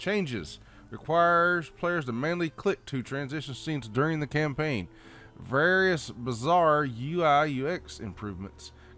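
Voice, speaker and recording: With a bright, sharp tone and lively intonation, the voice moves at a moderate pace on a very clean recording with a silent background. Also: man, fairly high pitch for a man. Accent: Southern US. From Southern United States. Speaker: gamer. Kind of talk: game patch notes read-through with casual comments. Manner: casual, folksy.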